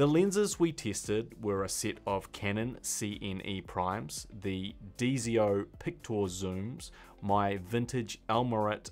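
Faint music plays behind a man speaking at a very slow pace. His pitch is fairly low, with ordinary variation. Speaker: filmmaker YouTuber. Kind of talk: tutorial. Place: studio.

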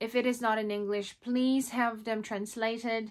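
With a Filipino accent, a woman of fairly high pitch speaks at a moderate pace with fairly even intonation against a quiet background. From Philippines. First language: Tagalog. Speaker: vlogger. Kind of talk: tutorial. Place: home room.

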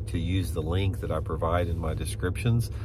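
At a fairly quick pace, a man with a very deep, low pitch speaks in a dry sound with no echo, with noticeable background noise behind him. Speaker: fishing channel host. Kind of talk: casual vlog chat. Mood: calm, reflective. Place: car. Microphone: phone near.

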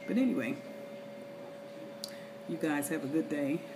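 Talking rather briskly, a woman is heard through noticeable noise in the background. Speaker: travel vlogger. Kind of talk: casual vlog chat. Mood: relaxed, chatty. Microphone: phone near.

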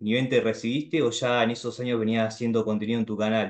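A man speaks at a medium pitch with a Rioplatense accent. The background is quiet. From Argentina. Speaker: YouTuber. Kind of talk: casual chat. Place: home room. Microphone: video call.

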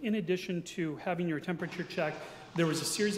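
Over noticeable background noise and with audible room echo, a man talks very fast at a high pitch with fairly even intonation. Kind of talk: procedural briefing at a public meeting. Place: hall. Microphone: podium.

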